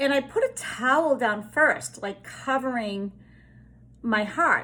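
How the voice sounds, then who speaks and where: A woman with a Boston accent speaks with ordinary pitch variation on a very clean recording with a silent background. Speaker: spiritual healer. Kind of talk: casual spiritual monologue. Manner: hesitant with fillers.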